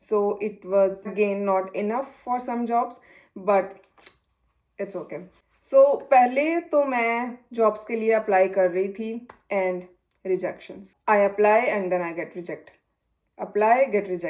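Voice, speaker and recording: Leaving long, frequent pauses, a woman with a Punjabi accent speaks at a fairly slow pace and a medium pitch with ordinary variation. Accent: Punjabi touch in her Hindi. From Punjab, India. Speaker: vlogger. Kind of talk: vlog tutorial.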